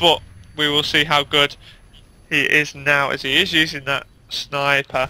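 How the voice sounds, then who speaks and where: This man speaks with a British accent. His voice sits fairly high in pitch. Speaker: esports commentator. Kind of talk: live commentary. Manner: loud; fast.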